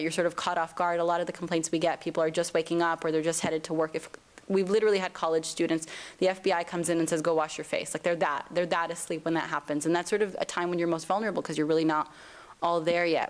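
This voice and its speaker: A woman's fairly low-pitched voice, very fast and flat in a monotone. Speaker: civil rights advocate. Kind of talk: lecture.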